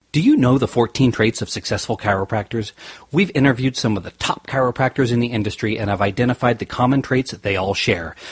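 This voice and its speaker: Somewhat breathy, a man rattles along at a very fast pace in a dry, close sound with no echo. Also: medium pitch for a man, ordinary pitch variation. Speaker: chiropractor, podcast host. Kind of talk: podcast ad read.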